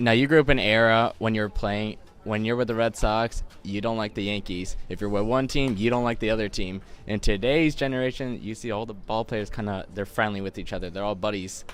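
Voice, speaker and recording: Here is a man with a plain, everyday voice, fairly low in pitch. He talks at a fairly quick pace with fairly even intonation. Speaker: interviewer. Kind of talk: interview question. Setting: outdoors.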